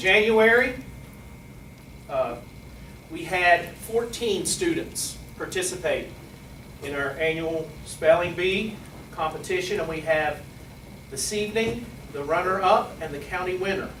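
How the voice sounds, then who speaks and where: Long, frequent pauses and big swings in loudness mark this man's fairly slow speech, delivered with an American accent in a high pitch with ordinary pitch variation. Noticeable background noise and audible room echo are present. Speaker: school administrator. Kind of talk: award ceremony speech. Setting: ceremony with audience.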